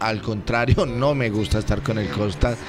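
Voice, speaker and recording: A man at medium pitch and a moderate pace, fairly even intonation, noticeable background noise. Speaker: mayor. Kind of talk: radio interview.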